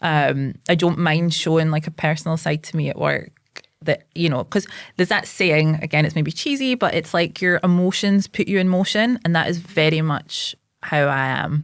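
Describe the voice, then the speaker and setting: Here a woman speaks with a Scottish accent at a moderate pace. Her pitch is fairly low, with ordinary pitch variation. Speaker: psychotherapist and local politician. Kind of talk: casual chat. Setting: podcast interview. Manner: loud.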